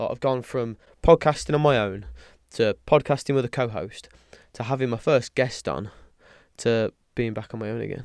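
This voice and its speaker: A man with a British accent speaks with ordinary pitch variation and long, frequent pauses. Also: medium pitch for a man, moderate pace. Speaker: podcaster. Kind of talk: casual podcast talk.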